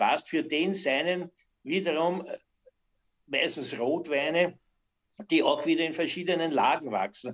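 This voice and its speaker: A man at a fairly slow pace. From Austria, Weinviertel (Lower Austria). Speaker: master cooper and timber business owner. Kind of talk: interview.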